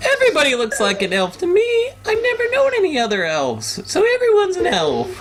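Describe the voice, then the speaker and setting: A man puts on a character voice in falsetto at a fairly quick pace. Clear background noise can be heard. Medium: actual play. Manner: chipper and pushy.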